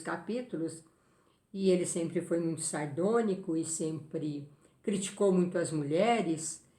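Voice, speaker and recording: Somewhat breathy and fairly low-pitched, a woman speaks at a fairly slow pace with audible room echo. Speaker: spiritist medium and book reviewer. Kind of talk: book review talk.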